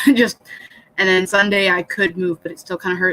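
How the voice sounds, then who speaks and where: A woman speaks at a medium pitch, her voice dry and close with no echo, over noticeable background noise. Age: 30s. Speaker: livestreamer hosting writing sessions. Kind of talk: casual livestream chat. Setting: live stream, dark room at night. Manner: soft-spoken.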